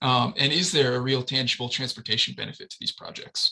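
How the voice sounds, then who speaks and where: Speaking at a very fast pace, a man uses a medium pitch and a bright, sharp tone. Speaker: transportation planner. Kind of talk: presentation.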